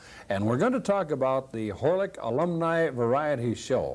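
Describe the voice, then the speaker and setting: Using lively intonation, a man with an American accent and an unremarkable speaking voice talks at a fairly high pitch. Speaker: local TV host. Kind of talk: local TV talk show hosting.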